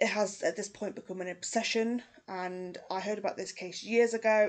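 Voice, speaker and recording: A woman with a British accent speaks with fairly even intonation. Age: 30s. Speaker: true crime YouTuber. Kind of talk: casual true crime narration. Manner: conversational.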